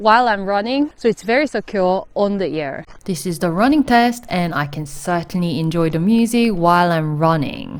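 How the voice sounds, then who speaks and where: A loud woman's voice at medium pitch and moderate pace, with very wide pitch swings. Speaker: tech reviewer. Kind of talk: product review. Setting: outdoors. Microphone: recorded through earbud mic over phone call.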